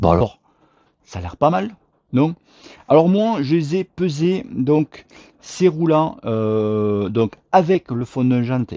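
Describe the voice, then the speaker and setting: Speaking in a southern French accent, a man talks at a very slow pace and medium pitch with very wide pitch swings. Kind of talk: casual, chatty.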